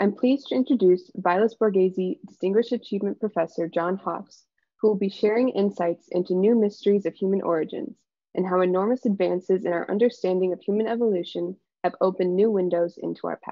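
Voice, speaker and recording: With an Upper Midwest accent, a woman talks at a very fast pace and with ordinary pitch variation, in a dry sound with no echo and a quiet background. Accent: General American, Upper Midwest. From Michigan, Ann Arbor; Michigan. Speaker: PhD student, presenter; presenter. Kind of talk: scripted introduction. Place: home room. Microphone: video call.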